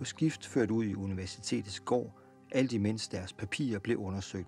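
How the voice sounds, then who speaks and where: A man speaks in a fairly low pitch. Music plays in the background. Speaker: journalist. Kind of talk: documentary narration.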